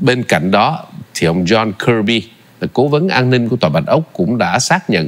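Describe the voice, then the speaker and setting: With a fairly low pitch, a man speaks in very wide pitch swings. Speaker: TV show host. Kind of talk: formal TV interview. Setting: studio.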